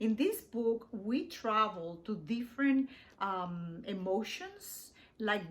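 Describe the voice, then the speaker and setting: A woman speaks with a Spanish accent. Her pitch is fairly high, with ordinary variation. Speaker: poet. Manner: halting.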